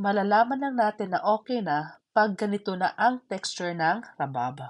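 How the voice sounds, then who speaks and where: Speaking at a moderate pace and a medium pitch, a woman's voice makes very wide pitch swings. The background is quiet. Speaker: home cooking vlogger. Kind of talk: cooking tutorial. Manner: casual, chatty.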